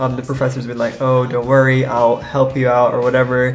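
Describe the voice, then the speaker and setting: A man's medium-pitched voice with audible room echo and music in the background. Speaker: college student vlogger. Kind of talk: casual vlog narration. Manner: casual, filler-heavy.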